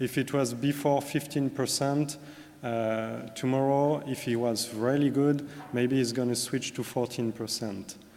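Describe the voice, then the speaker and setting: With audible room echo, a man of medium pitch talks at a moderate pace in a monotone, flat intonation. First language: French. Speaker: corporate sustainability manager. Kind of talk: conference presentation. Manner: hesitant, many fillers.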